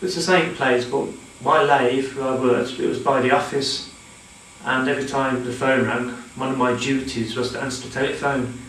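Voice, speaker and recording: At a moderate pace, a man with a medium-pitched voice talks in a monotone, flat intonation, with audible room echo and noticeable background noise. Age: 40s. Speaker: mental health nurse sharing personal story. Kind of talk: personal testimony. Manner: halting, with repetitions and fillers.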